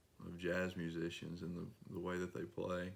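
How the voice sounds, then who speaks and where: A man's very deep, low voice in an East Tennessee accent, moderate in pace, with monotone, flat intonation. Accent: East Tennessee Appalachian. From Northeast Tennessee, Rogersville. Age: 30s. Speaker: singer-songwriter. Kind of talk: interview.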